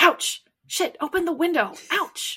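Someone whispers in a put-on character voice, hissing at a fairly slow pace. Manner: hissing, urgent whisper.

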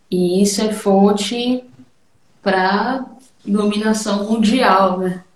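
Noticeable background noise fills the clip. A woman speaks at a medium pitch. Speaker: percussionist. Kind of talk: casual chat.

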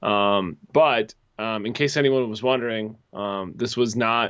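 A plain, everyday voice from a man at medium pitch, fairly even intonation and an American accent. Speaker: soccer podcast co-host. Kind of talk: casual chat.

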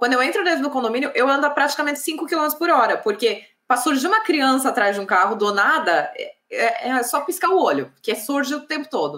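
Her tone rings bright and sharp. She is a woman. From Brazil, São Paulo. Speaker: civil engineer and channel host. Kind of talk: live interview. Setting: online livestream.

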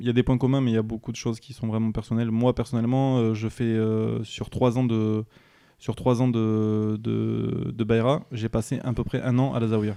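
This man's voice is medium in pitch, with a dark, mellow tone. He keeps a moderate pace and a monotone, flat intonation. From France, Bordeaux area. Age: 20s. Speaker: ambulance worker. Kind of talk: interview testimony. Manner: hesitant, many fillers.

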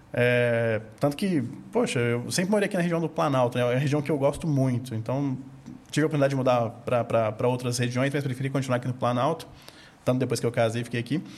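This man's pitch is medium and varies in an ordinary way. He talks very fast. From Minas Gerais, Brazil. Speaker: investment firm founder. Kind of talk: casual interview.

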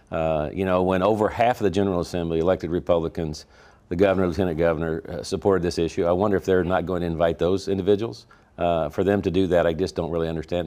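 In a very clean recording with a silent background, a man with a Missouri accent talks at a very fast pace in a very deep, low pitch with a dark, mellow tone. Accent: rural Missouri Midwestern. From Missouri, rural Franklin County. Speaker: state senate leader. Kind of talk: political interview.

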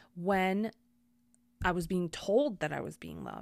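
A woman's medium-pitched voice, with ordinary pitch variation, comes through on a very clean recording against a silent background. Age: 30s. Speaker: podcast host. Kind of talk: personal monologue. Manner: casual, with frequent fillers.

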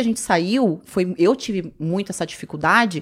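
This woman has an unremarkable speaking voice at a medium pitch, with lively intonation. The recording is very clean, with a silent background. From São Paulo, of northeastern (Ceará) parents. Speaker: reality show contestant. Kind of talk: casual chat.

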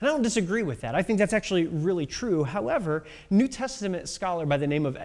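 Lively intonation marks this plain reading aloud.

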